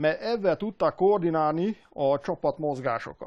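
Over a quiet background, a man's high-pitched voice shows ordinary pitch variation in a dry, close sound with no echo. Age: 50s. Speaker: machinist and historical armor maker. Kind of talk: interview. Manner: halting.

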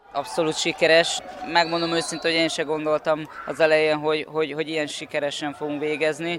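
Noticeable background noise sits behind a man with a fairly high pitch. He talks at a very fast pace in a monotone, flat intonation. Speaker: wrestling coach. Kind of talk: radio interview.

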